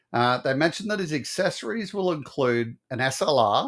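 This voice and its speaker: In a very clean recording with a silent background, a man with an Australian accent speaks at a moderate pace in a fairly high voice with lively intonation. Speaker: toy collector YouTuber and military veteran. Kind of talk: casual video talk. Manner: reading from notes, hesitant.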